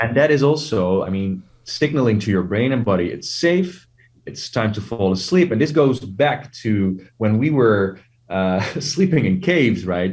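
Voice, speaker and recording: A man with a non-native accent talks at a fairly slow pace in a medium pitch. His pitch swings very widely. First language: not English. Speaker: sleep technology founder. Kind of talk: interview.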